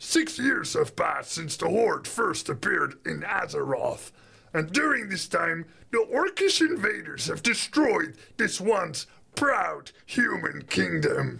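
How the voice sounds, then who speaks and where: The speaker uses a put-on character voice, fairly high in pitch. The pace is fairly slow. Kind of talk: cinematic trailer-style narration. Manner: dramatic, epic narration.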